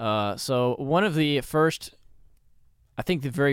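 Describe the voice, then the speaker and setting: A man is speaking. His intonation is lively. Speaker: podcast co-host. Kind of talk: casual chat. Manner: joking.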